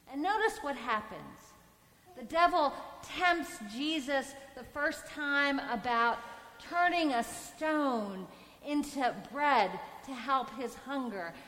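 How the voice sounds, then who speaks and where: A woman's high voice at a very slow pace, with lively intonation, big swings in loudness, long, frequent pauses and audible room echo. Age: 50s. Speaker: priest. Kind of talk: sermon.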